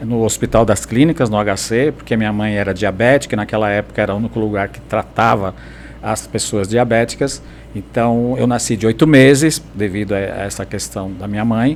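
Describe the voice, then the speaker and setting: A man's fairly low-pitched voice at a moderate pace with ordinary pitch variation, over noticeable background noise. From São Caetano do Sul, greater São Paulo, Brazil. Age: 60s. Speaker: teacher and activist. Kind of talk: podcast interview.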